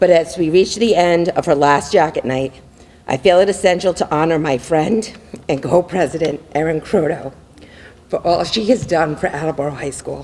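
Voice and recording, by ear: Using a put-on character voice, a woman speaks raspily at a moderate pace, fairly low in pitch with ordinary pitch variation.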